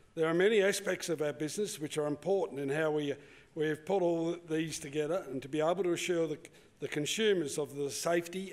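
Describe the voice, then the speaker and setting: With an Australian accent, a man talks at a fairly quick pace and a fairly high pitch, with ordinary pitch variation. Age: 70s. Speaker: cattle farmer. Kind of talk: conference presentation. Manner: halting.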